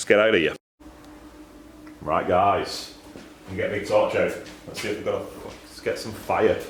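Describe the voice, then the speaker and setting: A man with a strong Lancashire accent talks at a moderate pace, with long, frequent pauses and big swings in loudness. Audible room echo and noticeable background noise fill the recording. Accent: thick Lancashire. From Lancashire, northern England. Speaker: exhaust fabricator. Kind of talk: workshop vlog. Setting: workshop. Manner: casual, repetitive.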